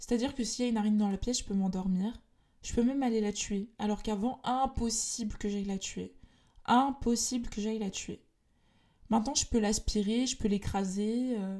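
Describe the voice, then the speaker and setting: With a dark, mellow tone, a woman speaks at a moderate pace and a fairly high pitch, keeping her intonation fairly even. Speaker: podcast host, personal development and spirituality. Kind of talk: solo monologue podcast.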